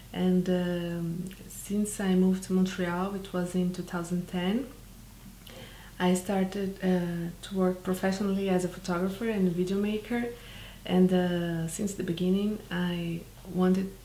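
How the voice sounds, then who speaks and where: Amid audible room echo, a woman with a Brazilian accent speaks fairly slowly at medium pitch with monotone, flat intonation. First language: Portuguese. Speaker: documentary filmmaker. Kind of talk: interview. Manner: halting, many fillers.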